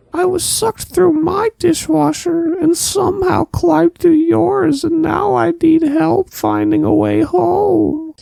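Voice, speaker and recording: A cartoonish character voice speaks at a fairly slow pace. There are hardly any pauses. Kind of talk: comic cartoon voice. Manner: stilted, formal, refers to himself by name.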